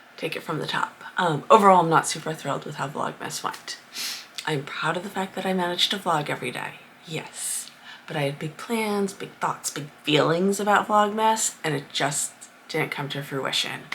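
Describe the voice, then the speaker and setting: With a Rhode Island accent, a woman talks at a moderate pace in a fairly low pitch with ordinary pitch variation, over noticeable background noise. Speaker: crafter vlogger. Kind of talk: casual vlog monologue. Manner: chatty, with many fillers.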